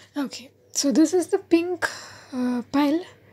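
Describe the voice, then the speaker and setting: Someone soft-spoken talks at a very slow pace with ordinary pitch variation. Background noise is noticeable. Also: woman. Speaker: tarot card reader. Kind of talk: tarot reading to camera.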